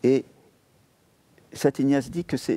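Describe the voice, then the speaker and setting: This man has a fairly high pitch. His tone is dark and mellow. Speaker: Jesuit priest. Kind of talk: TV interview. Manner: halting. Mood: calm, thoughtful explanation. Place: studio. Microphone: lapel.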